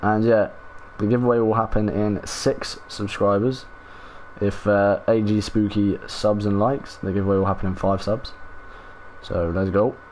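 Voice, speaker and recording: A man with a southern English accent speaks at a moderate pace and a fairly low pitch. His intonation is monotone and flat, with noticeable background noise behind him. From southern England, Portsmouth. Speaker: gaming streamer. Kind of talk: casual live stream chat with viewers. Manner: casual, laid-back.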